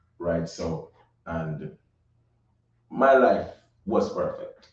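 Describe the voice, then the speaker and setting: The speaker has a Jamaican accent. The pace is very slow. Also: man. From Jamaica, Saint Catherine and Kingston. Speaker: recording artist. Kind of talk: interview.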